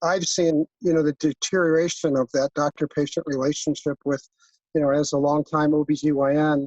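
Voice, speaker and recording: A man speaks with a fairly high pitch and fairly even intonation. His loudness stays very even. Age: 60s. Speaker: audience member, OB-GYN doctor. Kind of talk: question from audience. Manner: halting.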